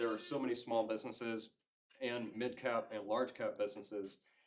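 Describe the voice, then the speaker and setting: A man at medium pitch, moderate pace. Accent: slight Southern US. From Georgia, US South. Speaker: cybersecurity consultant. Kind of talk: lecture. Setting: club meeting with audience.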